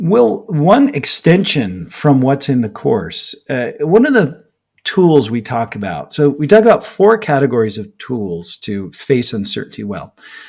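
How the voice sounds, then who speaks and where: Speaking fairly slowly with hardly any pauses, a man with an American accent uses a fairly high pitch, very wide pitch swings and vocal fry. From United States. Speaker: author and business researcher. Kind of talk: podcast interview.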